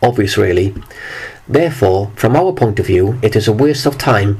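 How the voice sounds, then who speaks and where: With noticeable noise in the background, the speaker talks at a moderate pace with ordinary pitch variation. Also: man. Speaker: video commentator. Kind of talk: monologue.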